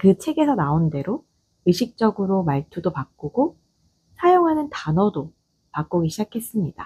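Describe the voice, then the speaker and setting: A woman with a slight Gyeongsang accent speaks at a fairly slow pace in a calm, dark, mellow, somewhat breathy tone. Her very wide pitch swings come through in a dry, close sound with no echo. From Gyeongsang region, South Korea. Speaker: office manager. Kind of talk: audio essay monologue. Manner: calm, unhurried.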